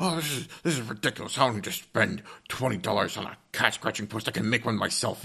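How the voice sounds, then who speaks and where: A man puts on a character voice. His pitch sits in the medium range and his pace is fairly quick. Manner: grumpy, scoffing, do-it-yourself attitude.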